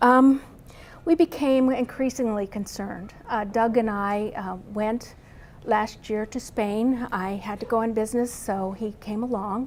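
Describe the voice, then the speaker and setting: Soft-spoken, a woman with a fairly high pitch talks at a fairly slow pace with fairly even intonation. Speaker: spouse of a brain injury patient. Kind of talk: testimony.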